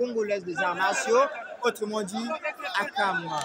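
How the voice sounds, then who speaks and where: Crowd noise fills the background while a man with a high pitch and lively intonation speaks, the sound dry with no echo. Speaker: martial arts commentator. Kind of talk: live commentary of a fight, addressing an audience. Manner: halting, hesitant, with many fillers and repeats. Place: hall.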